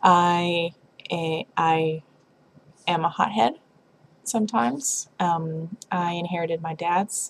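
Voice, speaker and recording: Speaking very slowly, a woman with an American accent uses a fairly low pitch. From US South, Tennessee (Lynchburg). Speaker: vlogger. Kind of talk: casual vlog monologue. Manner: halting, many fillers.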